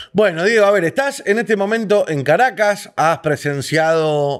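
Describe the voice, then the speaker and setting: A man speaks with a Rioplatense accent and lively intonation. The recording is very clean, with a silent background. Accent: Argentine Rioplatense Spanish. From Argentina. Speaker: interview host. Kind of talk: interview.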